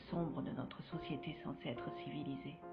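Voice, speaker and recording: A woman's solemn voice at a moderate pace, with music in the background. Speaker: screenwriter and narrator. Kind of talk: dramatic first-person voice-over narration for a web series. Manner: grave, solemn.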